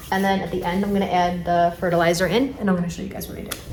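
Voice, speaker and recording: A woman with a strong New York accent, amid audible room echo and noticeable background noise. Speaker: plant hobbyist vlogger. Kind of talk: casual tutorial vlog. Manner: casual, hesitant with fillers.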